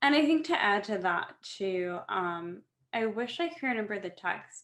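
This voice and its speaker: An ordinary speaking voice from a woman at medium pitch. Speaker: fashion show founder. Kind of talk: casual interview.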